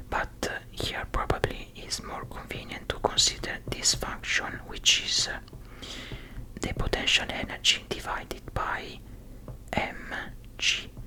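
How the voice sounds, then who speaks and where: A very slow whisper, with noticeable noise behind it. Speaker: ASMR content creator / physics tutor. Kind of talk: ASMR study-along physics explanation, soft-spoken. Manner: whispered, soft-spoken.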